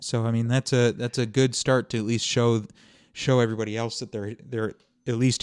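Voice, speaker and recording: A normal speaking voice from a man at a medium pitch, moving at a fairly quick pace. The recording is very clean, with a silent background. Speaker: hockey podcast host. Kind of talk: casual chat.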